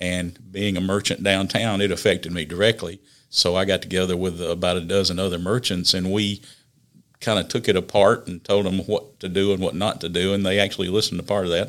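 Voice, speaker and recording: A man speaks fairly quickly in a South Carolina accent, with a very deep, low pitch. His intonation is monotone and flat, and the recording is very clean with a silent background. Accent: Southern US (South Carolina). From US South, upstate South Carolina. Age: 60s. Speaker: city councilman. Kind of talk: casual interview. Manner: halting, many fillers.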